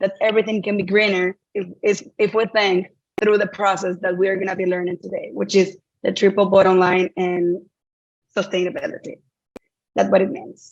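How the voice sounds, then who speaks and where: In a Dominican accent, a woman speaks at medium pitch with monotone, flat intonation. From Dominican Republic. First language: Spanish. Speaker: sustainability trainer. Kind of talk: online workshop.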